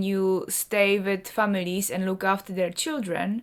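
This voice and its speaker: A woman with a Czech accent speaks at a medium pitch. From Czech Republic. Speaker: artist and vlogger. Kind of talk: personal vlog talk.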